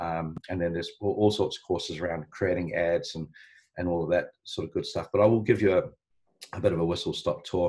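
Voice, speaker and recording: Speaking at a fairly quick pace with a strong New Zealand accent, a man is heard against a quiet background. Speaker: marketing business founder, ads instructor; ads instructor. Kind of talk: live online training tutorial. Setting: live video call webinar. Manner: hesitant, many ums and uhs. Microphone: video call.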